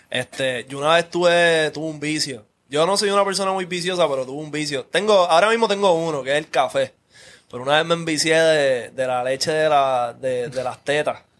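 A man with a Puerto Rican accent talks at a fairly quick pace in a fairly high voice. His pitch varies in an ordinary way. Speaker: podcast host. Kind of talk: casual chat.

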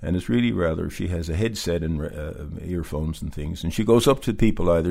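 This man has a very deep, low pitch. He talks very fast with lively intonation. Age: 70s. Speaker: Santa actor. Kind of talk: casual interview.

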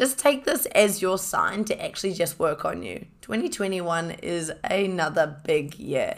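A woman speaks at a moderate pace with a New Zealand accent. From New Zealand, Hamilton. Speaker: podcast host, fitness enthusiast. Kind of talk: casual solo monologue. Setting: home recording with microphone. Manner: animated.

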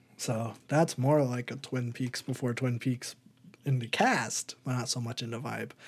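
A man's somewhat breathy, medium-pitched voice, flat and monotone, at a fairly slow pace. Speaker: podcast host. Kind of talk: casual chat.

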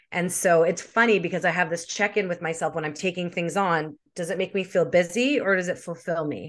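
An ordinary speaking voice runs at a fairly quick pace with fairly even intonation and hardly any pauses. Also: woman, fairly low pitch for a woman. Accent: Canadian. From Canada, Winnipeg. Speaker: social media marketing expert. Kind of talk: interview.

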